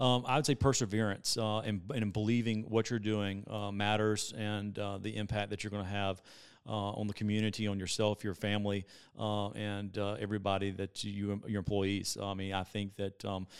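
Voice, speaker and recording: A man with a Southern US accent, fairly low-pitched and fairly quick, in a monotone, flat intonation, on a very clean recording with a silent background. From South Carolina. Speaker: entrepreneur. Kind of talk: interview.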